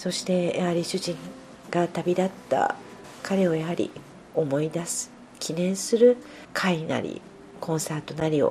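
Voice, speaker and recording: A woman's fairly low voice at a fairly slow pace, with long, frequent pauses and noticeable background noise. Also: ordinary pitch variation. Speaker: pianist. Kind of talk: interview. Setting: at home.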